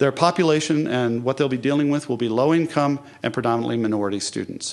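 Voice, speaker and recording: A man speaks at a medium pitch. His intonation stays fairly even. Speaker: virtual school principal. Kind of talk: conference talk. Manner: fast.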